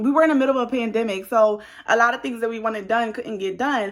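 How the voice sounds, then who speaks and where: Her tone is animated, with a fairly high pitch and ordinary pitch variation. The woman keeps a moderate pace on a very clean recording with a silent background. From New Jersey. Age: 20s. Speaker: beauty vlogger. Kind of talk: casual chat.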